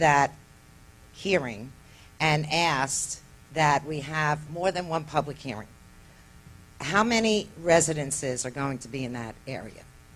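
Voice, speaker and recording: Pauses come often and run long. Overall, the speech is fairly slow. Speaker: community resident asking questions. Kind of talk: public question at meeting. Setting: community association meeting.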